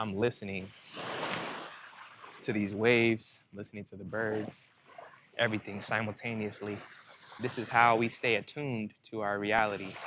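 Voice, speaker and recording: A man's monotone, flat delivery, with long, frequent pauses and big swings in loudness, over noticeable background noise. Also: fairly low pitch for a man, moderate pace. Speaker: spiritual self-help vlogger. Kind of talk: casual monologue. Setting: outdoors by the sea.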